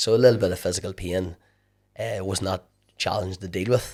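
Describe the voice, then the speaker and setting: In a Northern Irish accent, a man speaks at a fairly quick pace with a very deep, low pitch and fairly even intonation. The recording is very clean, with a silent background. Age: 40s. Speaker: endurance athlete. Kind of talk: interview. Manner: halting.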